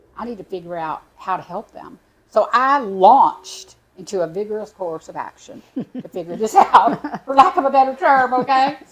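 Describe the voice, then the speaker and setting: A woman with a Texan accent speaks at a high pitch and moderate pace. Her pitch swings very widely, and her loudness rises and falls sharply. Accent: Texan US Southern. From Texas. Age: 60s. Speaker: animal sanctuary founder. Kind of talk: interview. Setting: studio.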